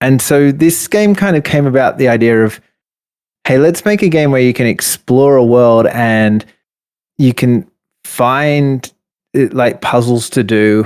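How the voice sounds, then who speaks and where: The speaker goes at a fairly slow pace, with ordinary pitch variation and loudness that stays very even. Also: man. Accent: Australian. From Australia. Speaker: indie game developer. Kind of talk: interview.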